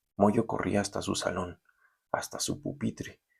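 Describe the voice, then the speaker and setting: At a moderate pace, a man talks with a fairly low pitch and vocal fry. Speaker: university lecturer. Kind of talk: recorded lecture then reading aloud a story. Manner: halting.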